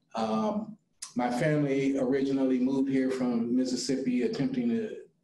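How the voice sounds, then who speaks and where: There is audible room echo as a man with a medium pitch talks at a moderate pace with fairly even intonation. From US Midwest, North Omaha, Nebraska. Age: 60s. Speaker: restorative justice trainer, former prisoner. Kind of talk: discussion panel. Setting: video call.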